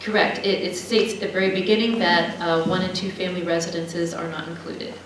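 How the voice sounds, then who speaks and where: A woman talks at a very fast pace in a medium-pitched voice with fairly even intonation. Noticeable background noise and audible room echo fill the recording. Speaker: city planning and zoning staff. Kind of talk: presentation at city council meeting. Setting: city council meeting. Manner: soft-spoken.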